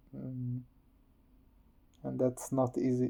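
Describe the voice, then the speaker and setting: At a fairly slow pace, a man with a non-native accent talks at a medium pitch. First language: not English. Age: 30s. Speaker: vlogger. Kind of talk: personal testimony. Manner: halting.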